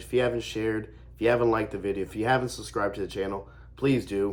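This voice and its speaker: Vocal fry with ordinary pitch variation. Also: man. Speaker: sports fan youtuber. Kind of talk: casual vlog commentary. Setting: at home. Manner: hesitant with fillers.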